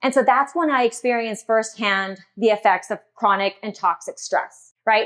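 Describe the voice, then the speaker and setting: Against a quiet background, a woman with an American accent and an ordinary speaking voice talks at a moderate pace, her pitch fairly high and its variation ordinary. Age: 40s. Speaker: dietitian and wellness keynote speaker. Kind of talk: keynote speech.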